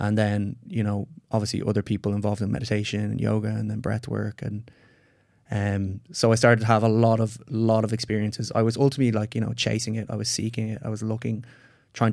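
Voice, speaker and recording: A man with an Irish accent talks at a fairly quick pace in a fairly low pitch. His intonation is monotone and flat, and the recording is very clean with a silent background. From Ireland. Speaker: psychedelic retreat facilitator and scientist. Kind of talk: interview conversation.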